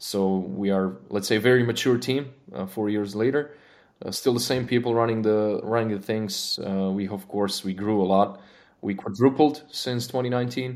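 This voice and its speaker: With a Croatian accent, a man speaks at a moderate pace, his fairly low pitch showing ordinary variation. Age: 30s. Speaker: engineering manager. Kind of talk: casual interview. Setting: studio. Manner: halting.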